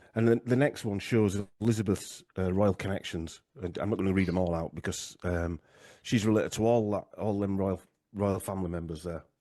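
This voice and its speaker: With a Yorkshire accent and a dark, mellow tone, a man speaks at a fairly low pitch and a fairly quick pace, his intonation fairly even against a quiet background. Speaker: genealogy researcher, podcaster. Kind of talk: interview discussion. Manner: halting, many fillers.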